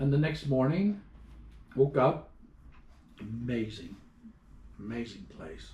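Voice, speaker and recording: A somewhat breathy man's voice at medium pitch. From Ireland. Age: 60s. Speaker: traveler. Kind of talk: interview. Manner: animated.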